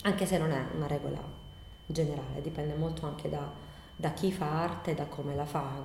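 Noticeable background noise and audible room echo fill the recording. A woman talks over it at a fairly quick pace. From Bari, Apulia, southern Italy. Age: 40s. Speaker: nursery school owner and educator. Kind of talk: interview answers. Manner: halting, many repetitions.

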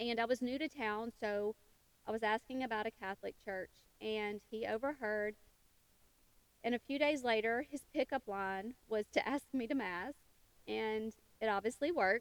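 Speaking in a Southern US accent at a moderate pace, a woman uses a fairly high pitch with ordinary pitch variation and long, frequent pauses, in a dry, close sound with no echo. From US South, western Tennessee. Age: 50s. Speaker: podcast host. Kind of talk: casual monologue.

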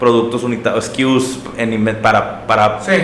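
The speaker has a northern Mexican accent and fairly even intonation. Noticeable background noise runs through the clip. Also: man. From Mexico, Monterrey. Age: 30s. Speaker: startup executive and entrepreneur. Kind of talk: interview conversation.

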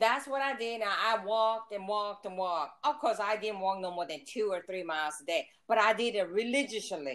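A woman in a plain, everyday voice talks at a fairly quick pace and medium pitch, with lively intonation and hardly any pauses. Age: 60s. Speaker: mother of the hosts. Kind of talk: casual chat.

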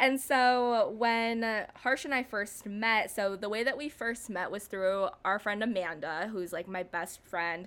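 Using an ordinary speaking voice, a woman speaks at a fairly slow pace with hardly any pauses, fairly high pitch and ordinary pitch variation, on a very clean recording with a silent background. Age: 20s. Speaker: podcast co-host. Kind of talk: casual chat.

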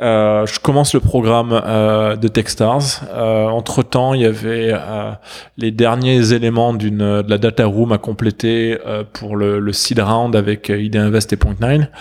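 Here a man speaks at medium pitch. His pace is very slow and his intonation monotone and flat. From southern France. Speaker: startup founder. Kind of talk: interview. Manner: halting, many fillers.

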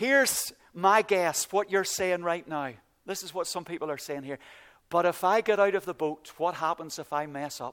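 Recorded very cleanly with a silent background and a dry, close sound with no echo, a man speaks at a high pitch with a Northern Irish accent. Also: ordinary pitch variation, moderate pace. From Northern Ireland, County Antrim. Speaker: pastor. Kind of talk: sermon. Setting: church.

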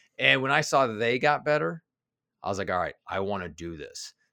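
A man with a Midwestern accent talks at a very fast pace in a bright, sharp tone with vocal fry, recorded dry and close with no echo, very clean and against a silent background. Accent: General American (Midwest). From US Midwest (Kansas City). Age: 40s. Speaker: executive coach and author. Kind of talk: interview conversation.

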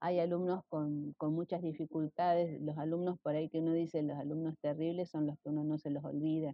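Very deep and low in pitch, a woman with an Argentine accent speaks at a fairly quick pace with hardly any pauses and monotone, flat intonation. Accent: Rioplatense Argentine Spanish. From Argentina, Rosario. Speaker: retired schoolteacher. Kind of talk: interview.

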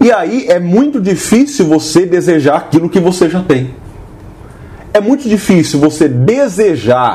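Noticeable background noise behind a man speaking with lively intonation. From Brazil, São Paulo city. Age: 30s. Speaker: podcast host, teacher. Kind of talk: casual chat.

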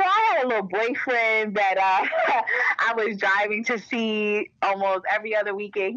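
The speaker is a woman with a medium-pitched voice. Noticeable background noise can be heard. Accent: American. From Maryland, Baltimore. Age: 20s. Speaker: government logistics specialist. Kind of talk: casual chat. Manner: animated.

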